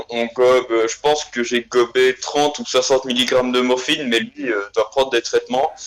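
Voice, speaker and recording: A man speaks at a moderate pace with a Belgian accent. His pitch is medium. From Belgium, Liège. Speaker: guest telling an anecdote. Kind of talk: casual storytelling. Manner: hesitant, many fillers.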